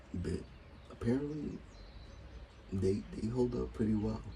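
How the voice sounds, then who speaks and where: A man speaks with a very deep, low pitch and very wide pitch swings. Room echo is audible. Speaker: YouTube TV reviewer. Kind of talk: casual review monologue. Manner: halting, repeats words.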